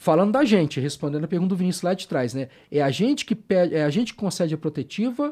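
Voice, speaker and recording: Very fast and high-pitched, a man's dark, mellow voice makes very wide pitch swings on a very clean recording with a silent background. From interior of Rio de Janeiro state, Brazil (Barra Mansa). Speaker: police investigator. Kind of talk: podcast interview.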